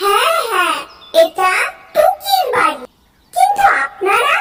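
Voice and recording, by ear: A cartoonish character voice, squeaky and extremely high in pitch, speaks at a very slow pace.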